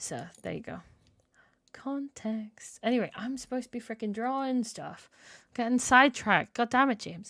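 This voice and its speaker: In a very clean recording with a silent background, a woman with an Irish accent speaks at a moderate pace and high pitch, her tone bright and sharp, her intonation fairly even and her loudness swinging widely. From Ireland. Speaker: video game streamer. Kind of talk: casual live-stream chat.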